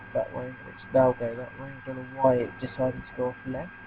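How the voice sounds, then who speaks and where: Over noticeable background noise, a man with a medium-pitched voice speaks at a fairly quick pace. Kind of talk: gameplay commentary. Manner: casual, hesitant.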